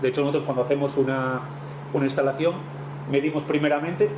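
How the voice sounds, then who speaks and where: A man with a Spanish accent speaks very fast at a fairly high pitch in a monotone, flat voice, with noticeable background noise. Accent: Peninsular Spanish. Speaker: technical presenter, marine engine equipment. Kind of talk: technical presentation.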